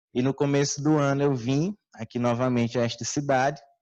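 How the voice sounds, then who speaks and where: Against a quiet background, a man speaks at a moderate pace, his medium pitch showing ordinary variation. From Ceará, Brazilian Northeast. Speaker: conference speaker. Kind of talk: lecture. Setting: stage with audience.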